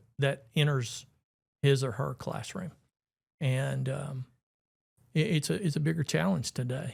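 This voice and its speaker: In a very clean recording with a silent background, a man with an Alabama accent speaks at a fairly high pitch, somewhat breathy, with ordinary pitch variation. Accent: Southern US (Alabama). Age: 60s. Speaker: retired teacher and coach, school board candidate. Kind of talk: casual chat.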